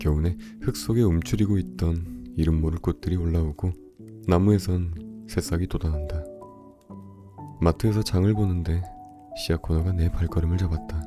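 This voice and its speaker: A man with a very deep, low voice speaks at a moderate pace with ordinary pitch variation, very even loudness and long, frequent pauses over music in the background. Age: 20s. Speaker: audiobook narrator. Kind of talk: audiobook reading.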